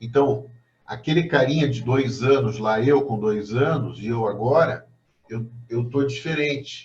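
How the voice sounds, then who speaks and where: A man speaks in a somewhat breathy voice with fairly even intonation. Audible room echo surrounds it. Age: 60s. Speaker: professor. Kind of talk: lecture.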